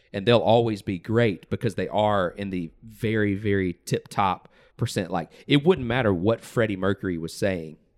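On a very clean recording with a silent background, a man with a normal speaking voice and an American accent talks at a moderate pace with hardly any pauses, fairly low in pitch with ordinary pitch variation. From US South. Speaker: podcast host. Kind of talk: casual chat.

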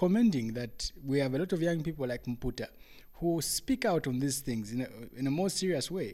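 A man at medium pitch with a dark, mellow tone, ordinary pitch variation and moderate pace, on a very clean recording with a silent background. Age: 20s. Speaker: radio host and youth advocate. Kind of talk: panel discussion.

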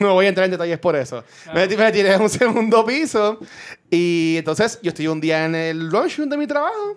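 The man's high voice shows very wide pitch swings. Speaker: podcaster. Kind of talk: casual chat.

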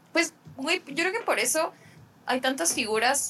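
Fairly slow speech from a woman, with ordinary pitch variation and noticeable background noise. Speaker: podcast co-host, filmmaker. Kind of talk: casual film discussion chat.

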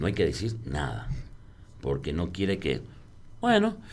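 With vocal fry, a man speaks at a moderate pace amid audible room echo. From San Juan, Argentina. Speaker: bartender. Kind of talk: casual interview.

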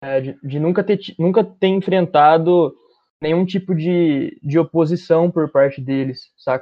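A man's high pitch with ordinary pitch variation at a fairly slow pace. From Bauru, interior of São Paulo state, Brazil. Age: 20s. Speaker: musician and music producer. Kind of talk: casual interview chat.

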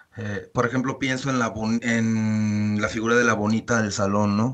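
There is noticeable background noise behind this man. He talks at a medium pitch and a moderate pace. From Mexico City. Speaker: podcast co-host. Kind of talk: casual chat.

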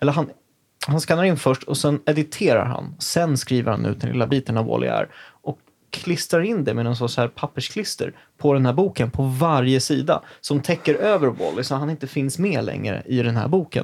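A man with an unremarkable speaking voice talks at a moderate pace and fairly high pitch, with ordinary pitch variation. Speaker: podcast host. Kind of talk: casual chat.

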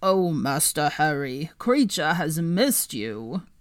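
A croaky put-on character voice at a middle pitch talks fairly slowly in a very clean recording with a silent background. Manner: servile, eager.

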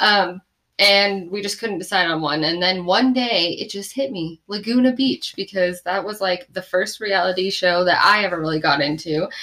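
A woman's bright, sharp voice at medium pitch, moderate pace, and ordinary pitch variation. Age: 20s. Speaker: podcast co-host. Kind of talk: casual chat.

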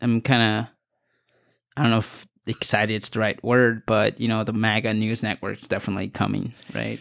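Nothing can be heard in the silent background of this very clean recording. Delivery is fairly brisk. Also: man. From Los Angeles, San Fernando Valley. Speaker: independent journalist and photographer. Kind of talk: casual political discussion. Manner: halting, many fillers.

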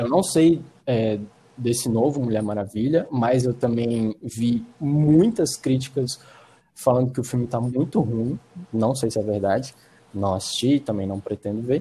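Somewhat breathy and dark, mellow in tone, a man's medium-pitched voice moves at a fairly slow pace with ordinary pitch variation. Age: 20s. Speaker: film student. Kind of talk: casual chat.

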